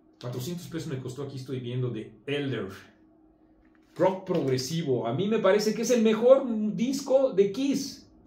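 Audible room echo surrounds a man speaking at a fairly slow pace with a high pitch. His pitch swings very widely, and his loudness rises and falls in big swings. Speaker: magazine commentator. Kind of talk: casual video commentary. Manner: hesitant with many fillers. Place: home room. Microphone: camera far.

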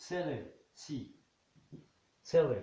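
Man's somewhat breathy speech, audible room echo around it. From Morocco. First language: Moroccan Arabic. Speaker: English teacher. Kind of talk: lecture. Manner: halting. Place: home room. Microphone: camera far.

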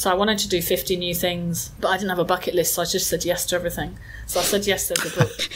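Against clearly audible background noise, the words rush out very quickly. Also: woman. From England. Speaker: mindfulness and well-being expert. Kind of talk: interview.

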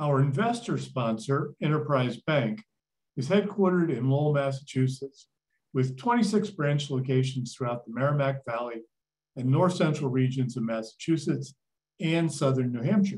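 The man's voice sits at a fairly high pitch and sounds somewhat breathy. His intonation is lively. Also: moderate pace. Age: old. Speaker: museum CEO and event host. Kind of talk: moderated talk introduction and Q&A. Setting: virtual event video call.

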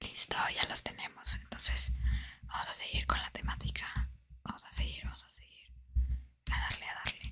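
Whispering at a moderate pace, a woman speaks with big swings in loudness and long, frequent pauses. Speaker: ASMR content creator. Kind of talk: casual talk to camera, gameplay commentary. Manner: whispered, soft-spoken. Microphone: studio mic.

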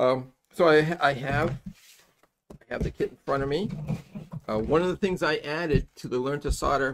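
Speaking at a moderate pace, a man shows vocal fry and ordinary pitch variation.

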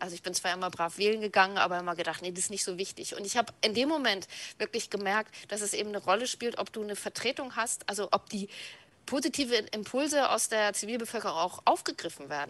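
Her pitch is medium and her intonation lively as this woman talks at a very fast pace. The sound is dry, with no echo. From North Frisia, northern Germany. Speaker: left-wing activist and party official. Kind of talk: interview. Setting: video call.

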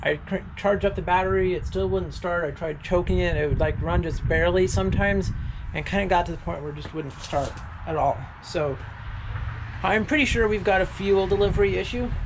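The speech moves at a fairly quick pace. Noticeable background noise runs underneath. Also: man. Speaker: small engine repair vlogger. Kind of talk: tutorial. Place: garage. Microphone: phone near.

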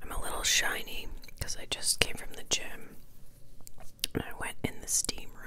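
A woman's whisper at a moderate pace, broken by long, frequent pauses. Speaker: ASMR creator. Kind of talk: casual talk to camera. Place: home room. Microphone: lapel.

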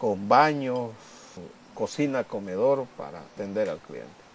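Over light background noise, a man talks at a very slow pace with ordinary pitch variation, the sound dry with no echo. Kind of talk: documentary interview. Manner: halting. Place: home room. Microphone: lapel.

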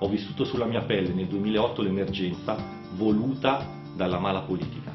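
A man at a fairly quick pace with a northern Italian accent, clear music in the background, and audible room echo. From Lombardy, northern Italy. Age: 40s. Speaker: mayoral candidate. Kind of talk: political campaign address to camera. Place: studio.

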